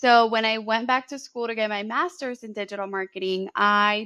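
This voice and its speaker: A woman talks with a Spanish accent. Her tone is bright and sharp. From Colombia (Bogotá) then US Bay Area from age 11. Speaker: marketing educator and business owner. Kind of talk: interview conversation.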